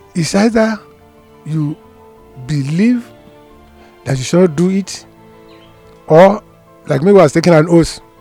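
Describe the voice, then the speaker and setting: A man speaks with a high pitch and ordinary pitch variation, at a fairly slow pace. He leaves long, frequent pauses while music plays in the background. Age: 80s+. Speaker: retired appeal court judge. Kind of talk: interview answer.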